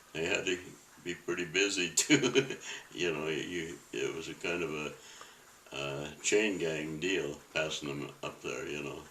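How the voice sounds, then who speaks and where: With noticeable background noise behind him, a man with an American accent speaks at a fairly slow pace in a very deep, low pitch, his pitch varying in an ordinary way. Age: 80s+. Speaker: WWII Navy veteran. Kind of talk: interview answer.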